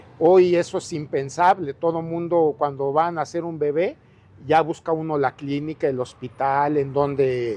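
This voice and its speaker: A dark, mellow voice moves at a fairly slow pace with ordinary pitch variation. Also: man, fairly high pitch for a man. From Mexico, Ciudad Nezahualcóyotl (Mexico City area). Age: 60s. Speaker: local resident sharing life story. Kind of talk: interview.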